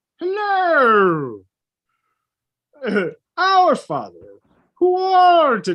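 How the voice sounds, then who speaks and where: In a put-on character voice pitched high, the speaker goes at a very slow pace with long, frequent pauses. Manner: comical, imitating a cartoon character.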